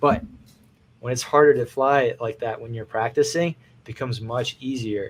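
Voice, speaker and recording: Somewhat breathy, a man speaks at a medium pitch and a fairly quick pace. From US, moved from Russia at age two. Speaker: FPV drone filmmaker. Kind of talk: interview. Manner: animated.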